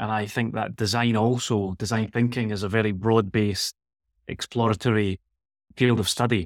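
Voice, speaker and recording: A man speaks with fairly low pitch and monotone, flat intonation. The sound is dry and close, with no echo. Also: moderate pace. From Scotland, Glasgow. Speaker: leadership and wellbeing professor, author. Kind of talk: interview conversation. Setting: remote call from Barcelona.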